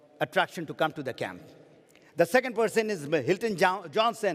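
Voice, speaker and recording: The speaker has a Pakistani accent and ordinary pitch variation. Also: man. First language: Urdu. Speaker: network marketing trainer. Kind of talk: motivational seminar talk.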